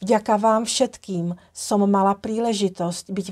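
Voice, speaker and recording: A woman with a Czech accent speaks at a fairly slow pace in a medium pitch, her intonation monotone and flat. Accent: Czech-accented Slovak. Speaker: holistic trainer, tantra massage teacher and founder of a training brand. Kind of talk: casual talk to camera, personal introduction. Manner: warm, gentle, grateful.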